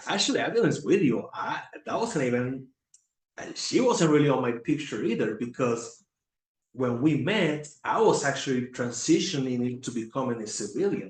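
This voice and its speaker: A somewhat breathy man with a Puerto Rican accent speaks at a moderate pace, his medium pitch carrying lively intonation. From Puerto Rico. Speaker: former Navy recruiter, veteran. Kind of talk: casual chat. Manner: halting, many fillers and repetitions.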